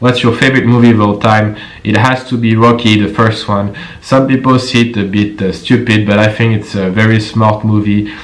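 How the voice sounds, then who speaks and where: Noticeable background noise sits under a man speaking with a French accent in a fairly low pitch and monotone, flat intonation. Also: moderate pace. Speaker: personal trainer. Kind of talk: casual Q&A talk to camera.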